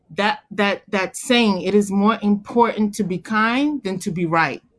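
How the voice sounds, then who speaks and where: Over a quiet background, a woman talks at a fairly slow pace. She has a normal speaking voice at medium pitch. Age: 40s. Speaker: stay-at-home mother. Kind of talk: casual chat. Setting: call.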